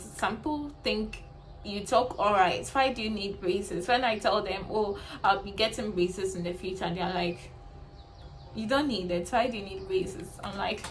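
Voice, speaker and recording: Pitch varies in an ordinary way, with audible room echo and noticeable background noise. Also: woman. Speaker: beauty vlogger. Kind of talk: personal storytelling vlog. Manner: hesitant, with fillers.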